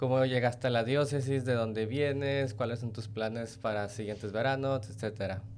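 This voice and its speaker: A man with a Mexican accent at a medium pitch, fairly even intonation and moderate pace with hardly any pauses, against audible room echo and noticeable background noise. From Mexico. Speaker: podcast host, diocesan ministry worker. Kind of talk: podcast interview.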